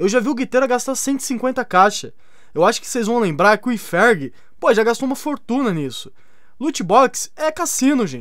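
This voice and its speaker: With an extremely high pitch and an animated tone, a man speaks at a fairly slow pace using lively intonation over a quiet background. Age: 30s. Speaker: gaming youtuber. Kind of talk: casual opinion video. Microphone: studio mic.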